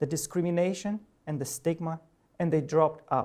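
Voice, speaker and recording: The voice has a dark, mellow tone and a Romanian accent. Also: man. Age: 40s. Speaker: professor. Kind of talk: personal talk to an audience. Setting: presentation with audience. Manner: halting.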